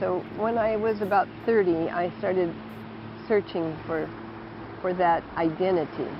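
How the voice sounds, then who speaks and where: Over noticeable background noise, a woman at a medium pitch talks at a fairly slow pace with fairly even intonation and long, frequent pauses. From Southern California. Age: 70s. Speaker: retreat owner. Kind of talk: interview testimony.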